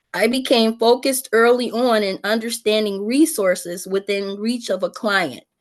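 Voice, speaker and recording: With an American accent, a woman talks at a fairly slow pace in an unremarkable speaking voice with ordinary pitch variation over a quiet background. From United States. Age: 60s. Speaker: peer support specialist. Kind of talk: testimony.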